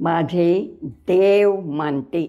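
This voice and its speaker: A woman with a dark, mellow tone. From Nagpur, Maharashtra. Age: 80s+. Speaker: freedom fighter and non-violence activist. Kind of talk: interview answer.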